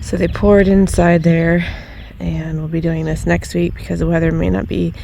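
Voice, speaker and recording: A woman talks at a moderate pace. The room echo is audible, and background noise is noticeable. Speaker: DIY home renovation vlogger. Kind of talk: casual vlog narration. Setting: outdoors. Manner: casual, with many fillers.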